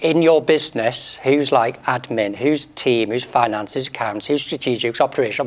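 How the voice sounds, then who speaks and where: In a British accent, a man speaks at a moderate pace with a medium pitch and ordinary pitch variation. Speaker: doctor and medical training business founder. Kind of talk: panel discussion.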